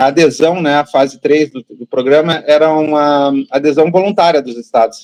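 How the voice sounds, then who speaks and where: Fairly slow speech from a man, with ordinary pitch variation. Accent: southern Brazilian. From southern Brazil, Rio Grande do Sul. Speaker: patient advocate, parent of child with rare disease. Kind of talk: interview.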